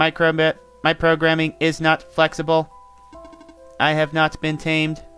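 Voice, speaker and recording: A man speaks in a put-on character voice, fairly high-pitched and flat in a monotone. He talks at a fairly slow pace with long, frequent pauses over clear background music. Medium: game stream. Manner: mechanical, repetitive, officious.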